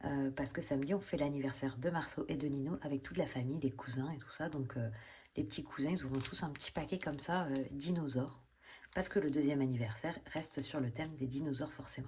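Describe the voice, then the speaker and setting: A soft-spoken woman talks at a very fast pace. Her very deep, low pitch comes out somewhat breathy. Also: ordinary pitch variation. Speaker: budgeting vlogger. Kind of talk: casual vlog. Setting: at home. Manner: hesitant, many fillers.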